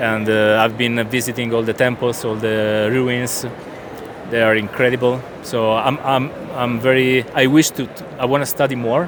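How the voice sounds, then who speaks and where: Over noticeable background noise, a man at medium pitch speaks with an Italian accent and monotone, flat intonation. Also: moderate pace. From southern Italy. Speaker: comic book artist. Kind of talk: interview. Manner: halting, searching for words.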